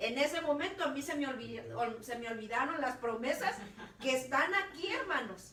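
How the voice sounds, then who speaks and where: Projecting a raised voice at a high pitch, a woman talks at a moderate pace with lively intonation, with audible room echo and noticeable background noise. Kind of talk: preaching talk. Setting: online radio broadcast.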